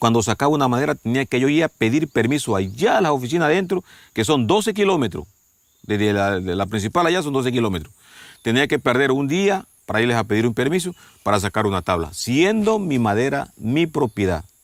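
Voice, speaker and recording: Speaking at a fairly quick pace, a man with a medium-pitched voice swings very widely in pitch while his loudness stays very even. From Ecuador. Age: 60s. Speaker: farmer. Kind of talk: documentary interview testimony.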